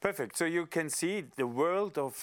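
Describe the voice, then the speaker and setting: Speaking fairly quickly with a German accent, a man uses lively intonation on a very clean recording with a silent background. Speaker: podcast host, member of European Parliament. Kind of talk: casual interview.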